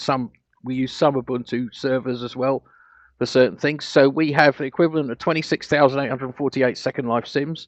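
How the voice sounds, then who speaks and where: With a British accent, a man speaks at medium pitch and a fairly quick pace in a monotone, flat delivery. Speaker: grid owner and programmer presenting at a conference. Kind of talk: conference presentation. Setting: online conference with live audio. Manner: fast; halting, many fillers and restarts.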